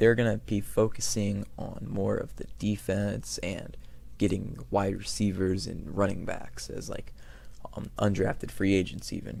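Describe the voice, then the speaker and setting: Fairly slow speech from a man in audible room echo. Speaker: sports YouTuber. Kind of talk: casual commentary. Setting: home recording at night. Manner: quiet, keeping voice down; hesitant, many fillers.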